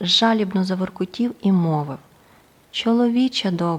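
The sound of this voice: The pitch varies an ordinary amount. It comes across as an unforced reading voice.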